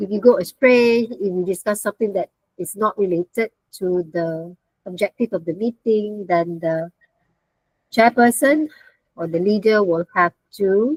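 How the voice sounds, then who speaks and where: A woman with a plain, everyday voice speaks at a medium pitch and a fairly slow pace, with ordinary pitch variation. The sound is dry and close, with no echo. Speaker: university lecturer. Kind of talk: online lecture. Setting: video call.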